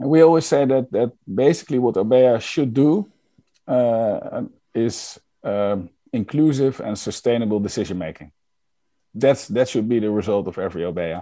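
The recording is very clean, with a silent background. A man speaks with lively intonation and a dark, mellow tone. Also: medium pitch for a man, moderate pace. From Netherlands. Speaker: lean and agile consultant. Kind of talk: interview. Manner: halting, many fillers.

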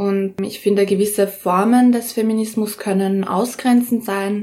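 A woman's unremarkable speaking voice at medium pitch. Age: young. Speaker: rapper and pole dancer. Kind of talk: interview. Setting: in her flat, home studio.

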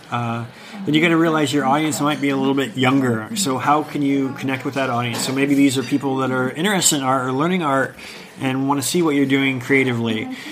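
A man's fairly high voice with an American accent, very fast pace and fairly even intonation, over noticeable background noise. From US Midwest and South, Ohio. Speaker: creative professional. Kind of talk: casual interview. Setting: cafe.

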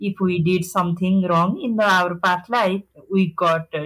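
A woman speaks in a fairly low voice, somewhat breathy, with fairly even intonation. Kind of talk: interview. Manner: halting.

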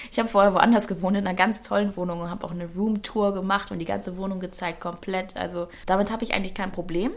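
A woman speaks very fast with hardly any pauses, in a medium pitch and monotone, flat intonation, with noticeable background noise. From northern Germany, Schleswig-Holstein. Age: 20s. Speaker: presenter and influencer. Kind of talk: interview. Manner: talkative.

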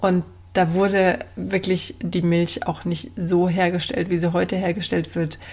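Somewhat breathy and at a medium pitch, a woman speaks at a very slow pace. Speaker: podcast host and business coach for mothers. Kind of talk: casual monologue.

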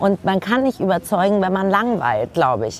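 Very wide pitch swings from a woman of medium pitch, at a fairly quick pace, with noticeable background noise. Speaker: lawyer, author and TV presenter. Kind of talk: casual chat. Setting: outdoors at a kiosk bar.

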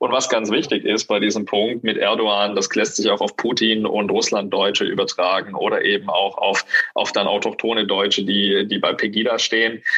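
A man's voice at very even loudness with hardly any pauses, over noticeable background noise. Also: moderate pace. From southern Germany. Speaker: podcast co-host. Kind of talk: casual chat.

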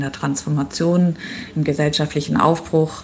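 Ordinary pitch variation is heard over noticeable background noise. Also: woman. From northern Germany (Schleswig-Holstein). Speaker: urban planner. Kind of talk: interview. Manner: hesitant with frequent fillers.

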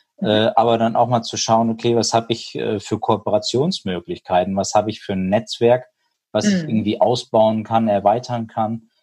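A man speaks at a moderate pace in a medium pitch. His tone is dark and mellow. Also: ordinary pitch variation. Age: 30s. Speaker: hearing aid industry business consultant. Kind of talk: casual interview.

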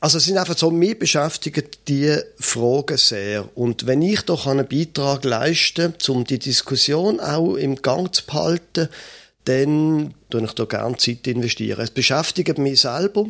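A man with a plain, everyday voice, fairly high pitch, lively intonation and a fairly slow pace, on a very clean recording with a silent background. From Switzerland, Basel. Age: 50s. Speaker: pastor and podcast co-host. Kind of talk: casual conversation.

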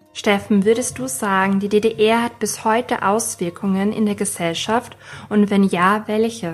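The voice moves at a fairly slow pace with ordinary pitch variation. Music plays in the background. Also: woman, medium pitch for a woman. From Austria. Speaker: podcast host. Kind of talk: interview questions and scripted narration.

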